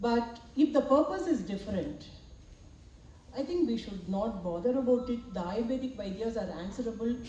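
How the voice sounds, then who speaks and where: Lively intonation and a moderate pace come through amid noticeable background noise and audible room echo. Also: woman, fairly high pitch for a woman. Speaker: professor and medical imaging researcher. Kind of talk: academic presentation and Q&A response. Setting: symposium hall with audience and slides.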